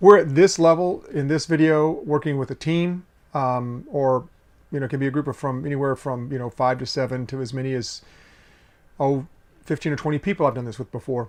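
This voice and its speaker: Over a quiet background, a man talks at a fairly quick pace with a fairly high pitch and ordinary pitch variation. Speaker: leadership consultant. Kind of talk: video lesson. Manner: animated.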